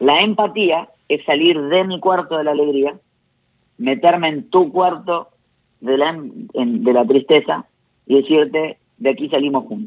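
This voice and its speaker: A man speaks at a fairly slow pace, with long, frequent pauses. His pitch is fairly high and his intonation lively. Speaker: pastor and motivational speaker. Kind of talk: casual chat. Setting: phone call.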